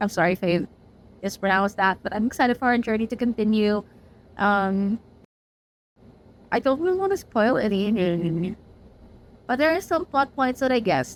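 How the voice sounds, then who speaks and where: Her pitch fairly high and her loudness very even, a woman speaks with lively intonation and a non-native accent. She leaves long, frequent pauses. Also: moderate pace. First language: not English. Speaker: book reviewer. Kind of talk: casual chat. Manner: animated.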